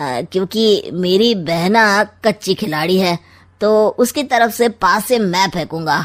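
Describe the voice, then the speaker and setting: A woman performs a cartoonish character voice with lively intonation at a very slow pace. The recording is very clean with a silent background. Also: medium pitch for a woman. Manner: sly, witty, mocking.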